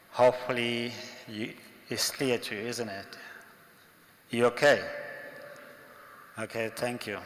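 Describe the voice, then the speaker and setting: Over noticeable background noise, a man with an African accent speaks at a medium pitch in a monotone, flat intonation, at a fairly slow pace, with big swings in loudness and long, frequent pauses. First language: African language. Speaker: monk lecturer. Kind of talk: religious lecture.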